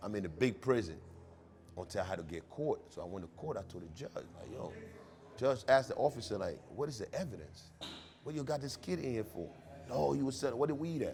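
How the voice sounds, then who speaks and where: Vocal fry colors a voice that moves at a fairly quick pace with very wide pitch swings. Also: man, medium pitch for a man. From Liberia. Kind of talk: interview. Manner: animated.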